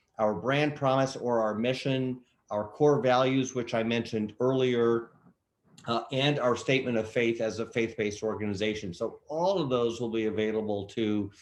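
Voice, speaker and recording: A man with a normal speaking voice and fairly even intonation. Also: medium pitch for a man, moderate pace. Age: 60s. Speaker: nonprofit executive. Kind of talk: Q&A in online workshop.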